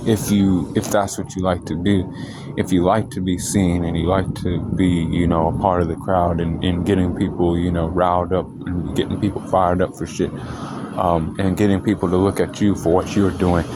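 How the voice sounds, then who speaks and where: Noticeable background noise sits behind a man's very deep, low voice. He keeps a moderate pace in a flat monotone. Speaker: astrology video creator. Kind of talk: casual monologue on astrology. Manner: loud; casual, filler-heavy.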